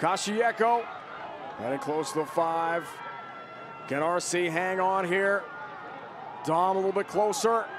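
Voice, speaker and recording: A man's high-pitched voice at a fairly slow pace, long, frequent pauses, and noticeable background noise behind him. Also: ordinary pitch variation, very even loudness. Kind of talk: live rugby commentary. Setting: broadcast commentary at match in Charlotte.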